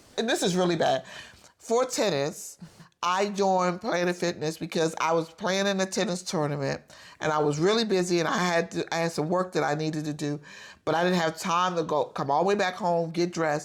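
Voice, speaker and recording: A woman with an ordinary speaking voice talks fairly quickly in a fairly low pitch, keeping her loudness very even. The recording is very clean, and the background is silent. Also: ordinary pitch variation. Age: 50s. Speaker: podcast co-host. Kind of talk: casual chat.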